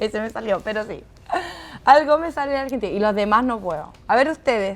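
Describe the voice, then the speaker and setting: Speaking very fast with a Chilean accent, a woman with a fairly high pitch sounds animated. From Chile, San Fernando. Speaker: actress. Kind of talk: casual interview chat.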